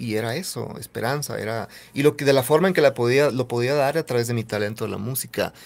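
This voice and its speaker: Words come out at a very fast pace, with ordinary pitch variation. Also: man. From northern Mexico, Nogales (Sonora border); Sonora, Mexico. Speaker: singer-songwriter; guest. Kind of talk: interview testimony. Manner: halting, repetitive. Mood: earnest, reflective. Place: studio. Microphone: studio mic.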